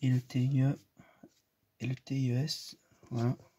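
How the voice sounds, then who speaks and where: A man whispers. His voice is quiet. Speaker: youtuber showing toy collection. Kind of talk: casual room tour video. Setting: at home, in bedroom. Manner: whispering, speaks very quietly; hesitant, many fillers.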